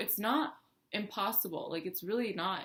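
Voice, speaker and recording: A woman's fairly quick speech is heard with noticeable noise in the background. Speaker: beauty and lifestyle vlogger. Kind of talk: personal story vlog. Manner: fast; casual, filler-heavy.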